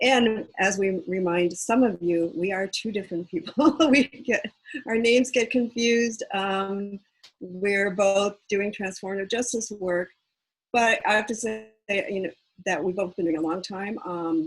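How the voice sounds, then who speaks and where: This woman talks with an American accent at a fairly slow pace. Her pitch is medium, with ordinary variation. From United States, Korean American. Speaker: activist and organization founder. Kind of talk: panel talk. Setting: video call.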